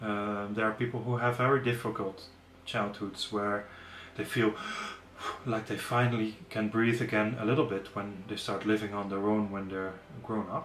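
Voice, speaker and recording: A man with a non-native accent talks at a moderate pace and fairly even intonation. The room's echo is audible. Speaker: yoga teacher. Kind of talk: webinar lecture. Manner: hesitant, with fillers and self-corrections.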